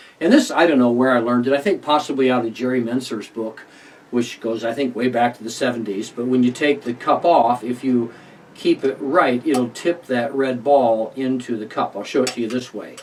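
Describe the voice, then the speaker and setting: A man speaks at a medium pitch with fairly even intonation. Background noise is noticeable. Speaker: magician. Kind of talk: tutorial. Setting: alone in a room recording. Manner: fast.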